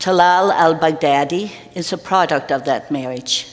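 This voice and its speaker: A woman's fairly low voice at a fairly slow pace, with noticeable background noise and audible room echo. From Denmark. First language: Danish. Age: old. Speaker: retired minister. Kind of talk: interview in church service.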